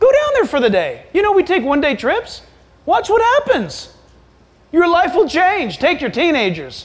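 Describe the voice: A man with extremely high pitch and very wide pitch swings. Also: moderate pace.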